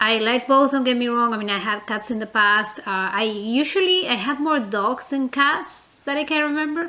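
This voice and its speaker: With a non-native accent, a woman talks at a high pitch and a moderate pace, her intonation lively. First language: not English. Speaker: reborn doll collector vlogger. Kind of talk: casual vlog, tag video. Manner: hesitant, many fillers; chatty, talkative.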